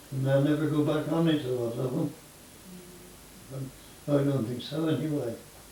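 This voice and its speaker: With noticeable background noise, a man talks in a fairly high, monotone, flat voice broken by long, frequent pauses. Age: 80s+. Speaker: farmer. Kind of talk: interview answer.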